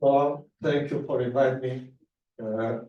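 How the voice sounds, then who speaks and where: A man speaks at a fairly slow pace with fairly even intonation. Audible room echo surrounds his voice. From grew up abroad, Brazilian diplomat family. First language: Spanish. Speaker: diplomat. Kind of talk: public speech. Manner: halting, many fillers.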